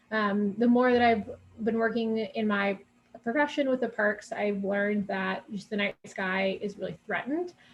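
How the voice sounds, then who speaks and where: At a moderate pace, a woman with a fairly high pitch and ordinary pitch variation speaks in a somewhat breathy voice. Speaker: advocacy committee chair. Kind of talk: presentation. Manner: many filler words (um, uh).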